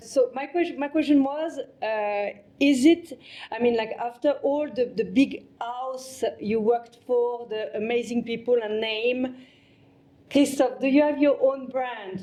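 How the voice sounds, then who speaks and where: With a French accent, a woman speaks fairly slowly at a high pitch, her tone dark and mellow, with ordinary pitch variation. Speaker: podcast host. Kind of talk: interview.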